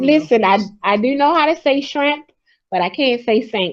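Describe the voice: Speaking with a Memphis accent, a woman uses lively intonation and a high pitch. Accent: Southern American drawl, Memphis-like.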